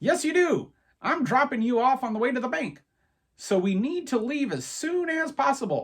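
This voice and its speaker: A man puts on a character voice pitched extremely high. His intonation is lively and his pace moderate. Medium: read story. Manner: brisk, businesslike.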